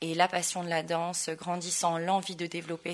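A woman speaks in an ordinary speaking voice, pitched fairly low. Her pace is moderate. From Tahiti, French Polynesia. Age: young. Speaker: dancer and dance school owner. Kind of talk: interview. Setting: in person.

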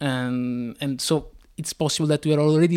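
With an Italian accent, a man of fairly high pitch speaks at a moderate pace. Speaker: comic book artist. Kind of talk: interview. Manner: hesitant, many fillers.

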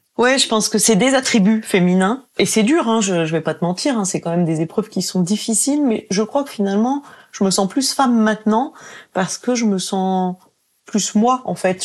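A woman with a medium pitch and ordinary pitch variation talks at a moderate pace, captured on a very clean recording against a silent background. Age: 40s. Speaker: breast cancer survivor. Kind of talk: interview testimony. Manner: hesitant, with fillers.

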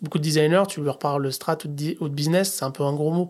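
In a very clean recording with a silent background, a man with a fairly high pitch talks at a moderate pace with fairly even intonation. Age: 40s. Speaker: head of design. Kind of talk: casual interview.

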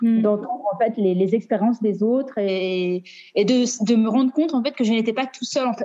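The speaker is a woman with a fairly high pitch. Background noise is noticeable. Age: 30s. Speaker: teacher sharing divorce experience. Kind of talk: testimony. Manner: halting.

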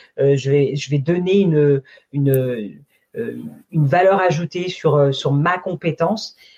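A woman speaks at a very slow pace in a somewhat breathy voice. Her pitch varies in an ordinary way. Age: 40s. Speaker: sales consultant. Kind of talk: interview. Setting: live stream.

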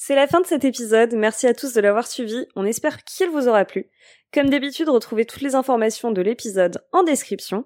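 In a high pitch with lively intonation, a woman talks at a fairly quick pace on a very clean recording with a silent background and a dry, close sound with no echo. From France. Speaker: podcast host. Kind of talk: scripted intro and outro; casual interview.

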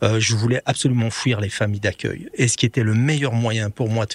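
The man's voice is fairly low and somewhat breathy, moving at a moderate pace with ordinary pitch variation, and the sound is dry and close with no echo. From Belgium. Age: 50s. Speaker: medic, writer and former soldier. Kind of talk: interview. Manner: hesitant.

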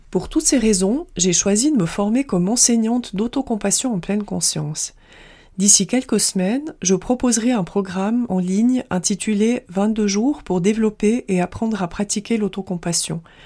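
In a very clean recording with a silent background, a woman speaks at a moderate pace in a dark, mellow, somewhat breathy tone. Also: medium pitch for a woman, ordinary pitch variation. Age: 40s. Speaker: self-compassion coach and podcast host. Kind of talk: scripted monologue.

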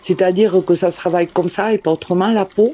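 A woman's dark, mellow voice at a fairly low pitch. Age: 50s. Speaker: glove maker. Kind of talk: interview. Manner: halting.

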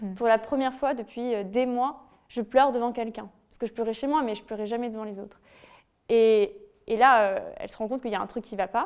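Here a woman uses a normal speaking voice at a fairly high pitch and fairly quick pace, with fairly even intonation. Her loudness swings widely, on a very clean recording with a silent background. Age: 20s. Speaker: author and former bullying victim. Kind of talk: testimony.

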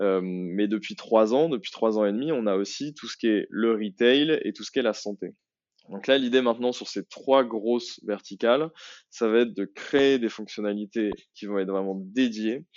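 This man's voice sits at a medium pitch with ordinary pitch variation. He keeps a moderate pace while his loudness swings widely. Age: 30s. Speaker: marketing executive at a startup. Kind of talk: interview. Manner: hesitant, many fillers.

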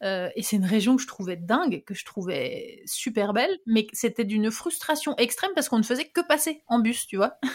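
A woman's fairly high-pitched voice with very wide pitch swings. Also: moderate pace, hardly any pauses. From France, Ardennes (north-east). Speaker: podcast host. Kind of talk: casual interview chat.

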